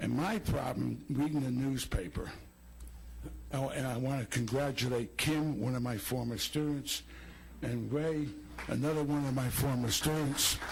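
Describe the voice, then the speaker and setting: A somewhat breathy man's medium-pitched voice at a fairly slow pace, with ordinary pitch variation. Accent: American. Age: 80s+. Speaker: retired teacher and school administrator. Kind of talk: public comment.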